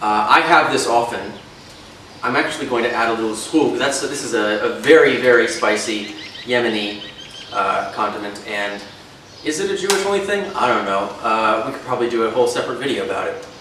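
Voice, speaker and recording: Through noticeable background noise and audible room echo, a man speaks at a medium pitch with lively intonation. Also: fairly quick pace. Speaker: history YouTuber. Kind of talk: casual educational chat while eating. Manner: unscripted, some stumbling over words.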